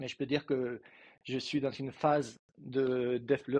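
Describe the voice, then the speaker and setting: Intonation stays monotone and flat as a man talks at a medium pitch. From Spain (Madrid). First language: Spanish (speaking French). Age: 40s. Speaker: coaching client. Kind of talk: interview. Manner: halting.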